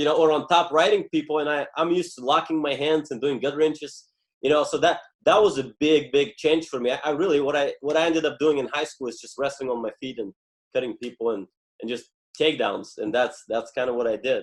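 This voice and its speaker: A man with a Bulgarian accent speaks at a very fast pace and a fairly high pitch. His pitch varies in an ordinary way. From Bulgaria, Stara Zagora. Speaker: former Olympic wrestler. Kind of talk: interview.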